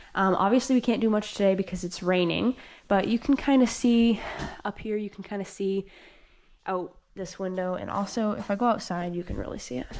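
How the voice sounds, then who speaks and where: With an American accent, a woman speaks at a medium pitch and a fairly quick pace. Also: ordinary pitch variation. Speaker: dairy farm worker and vlogger. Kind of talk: casual vlog narration. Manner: fast.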